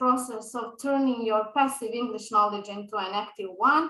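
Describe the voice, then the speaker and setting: Bright and sharp in tone, a woman's voice moves with ordinary pitch variation. Audible room echo is present. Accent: Serbian. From Balkans (Serbian speaker). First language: Serbian. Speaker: English teacher. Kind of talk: lecture. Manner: hesitant with fillers.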